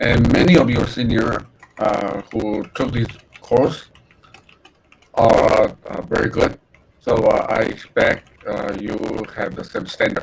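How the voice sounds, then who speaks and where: Very slowly, a man speaks with long, frequent pauses. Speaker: university lecturer. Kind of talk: lecture. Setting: online class via video call. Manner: halting, many fillers.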